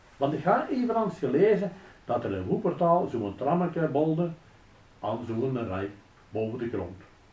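In a Belgian Limburg accent, a man with a dark, mellow tone and vocal fry speaks at a fairly slow pace with very wide pitch swings amid audible room echo. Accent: Flemish Limburg local dialect. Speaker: local dialect storyteller. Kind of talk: humorous story read in local dialect. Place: office.

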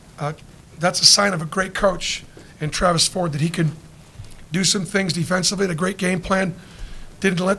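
A man talks in a raised, projected voice at a fairly quick pace, keeping his intonation fairly even. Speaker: basketball coach. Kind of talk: press conference answer. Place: hall.

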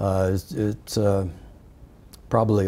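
A man with a very deep, low pitch speaks at a fairly slow pace in a monotone, flat way. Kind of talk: interview answer. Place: studio. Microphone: lapel.

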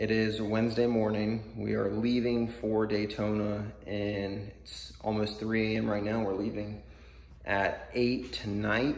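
A man with a fairly low pitch speaks fairly slowly in a monotone, flat delivery, with audible room echo. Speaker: car vlogger. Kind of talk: casual vlog chat. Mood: sleepy, slightly scattered. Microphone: phone near.

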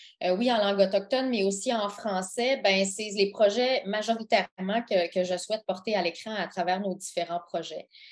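In a medium pitch, a woman talks at a moderate pace. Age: 40s. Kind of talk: interview. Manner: halting.

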